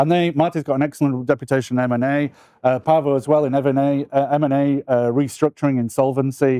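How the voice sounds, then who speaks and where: A very fast, monotone, flat delivery from a man with a British accent, fairly high in pitch and dark, mellow in tone. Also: dry, close sound with no echo, quiet background. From UK. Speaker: law firm business development partner. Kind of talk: interview.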